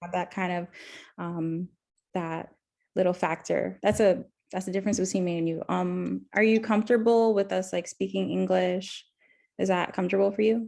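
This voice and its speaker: A woman with a South Florida accent talks at a moderate pace on a very clean recording with a silent background. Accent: American, South Florida. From Miami, Florida. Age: 20s. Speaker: counseling student. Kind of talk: role-play counseling interview. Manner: hesitant, many fillers.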